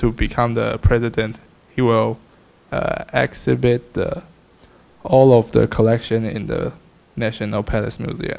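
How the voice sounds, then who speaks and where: In a Taiwanese accent, a man speaks at a medium pitch with monotone, flat intonation. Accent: Taiwanese Mandarin-accented English. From Taiwan, New Taipei City. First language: Mandarin. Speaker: student. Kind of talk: class presentation. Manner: halting, with many fillers.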